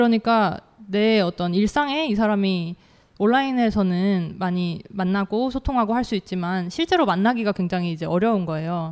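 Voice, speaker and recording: A woman speaks at medium pitch in a plain, everyday voice with ordinary pitch variation, recorded very cleanly against a silent background. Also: moderate pace. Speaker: author. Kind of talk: panel discussion. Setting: stage with audience.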